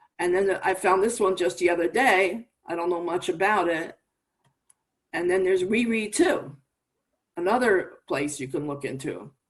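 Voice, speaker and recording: The woman speaks at a moderate pace and a medium pitch. Her pitch varies in an ordinary way. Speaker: website owner and event presenter. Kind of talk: online presentation. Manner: mumbly.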